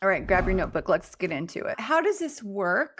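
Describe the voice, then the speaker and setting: In a very clean recording with a silent background, a woman speaks in a medium pitch with a Southern US accent. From US South. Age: 60s. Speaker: life coach. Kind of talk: educational talk to camera. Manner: casual, conversational.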